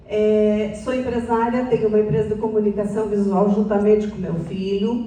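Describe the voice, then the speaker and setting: Noticeable background noise and audible room echo surround a woman speaking at a moderate pace with a fairly high pitch. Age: 60s. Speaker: public speaker. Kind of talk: talk to an audience.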